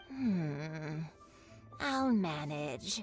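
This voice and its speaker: Over clear background music, a woman performs a put-on character voice at a very deep, low pitch with very wide pitch swings. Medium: video game. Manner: gentle, grandmotherly.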